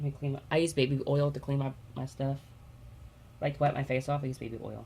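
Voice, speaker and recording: A quiet, somewhat breathy woman at a very fast pace, with a very deep, low pitch, a dark, mellow tone and monotone, flat intonation. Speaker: beauty vlogger. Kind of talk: makeup tutorial.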